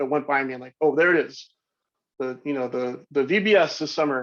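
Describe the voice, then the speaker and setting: Speech moves along at a fairly quick pace. The pitch varies in an ordinary manner. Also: man. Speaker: digital marketer and business professor. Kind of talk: lecture. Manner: fast; animated.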